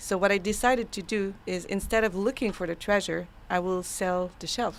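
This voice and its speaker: A woman with a Quebec accent speaks at a moderate pace with hardly any pauses, a medium pitch and fairly even intonation. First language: French. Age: 30s. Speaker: AI consultant. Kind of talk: casual interview chat. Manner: halting.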